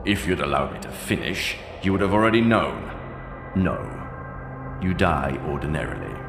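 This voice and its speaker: Putting on a character voice, a man speaks at a moderate pace in a very deep, low pitch over loud background music, with clear echo. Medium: machinima. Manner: clipped, condescending.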